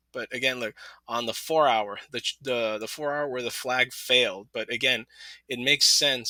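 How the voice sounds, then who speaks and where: The recording of this man is very clean, with a silent background and a dry, close sound with no echo. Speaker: crypto market commentator. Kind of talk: technical analysis screen walkthrough. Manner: fast; casual, animated.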